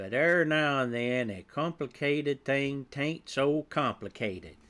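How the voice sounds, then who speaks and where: A put-on character voice, drawling at a fairly slow pace, on a very clean recording with a silent background. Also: man, fairly high pitch for a man. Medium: read story. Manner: folksy, ungrammatical drawl.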